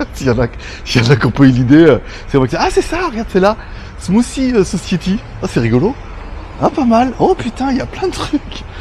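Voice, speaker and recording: With noticeable background noise behind him, a man speaks fairly quickly in a high pitch with very wide pitch swings. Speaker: travel vlogger. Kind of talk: casual vlog. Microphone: volume raised by 3 dB, was too quiet.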